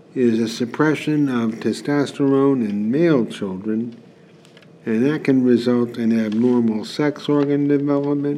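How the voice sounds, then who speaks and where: His pitch sits in the medium range and varies in an ordinary way. This male speaker has an ordinary speaking voice. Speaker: radio executive. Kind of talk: scripted commentary.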